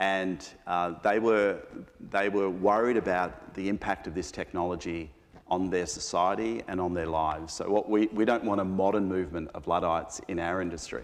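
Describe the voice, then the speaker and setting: A man's pitch sits very deep and low as he talks with an Australian accent. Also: ordinary pitch variation, moderate pace. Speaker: panelist at a business forum. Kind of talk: panel discussion.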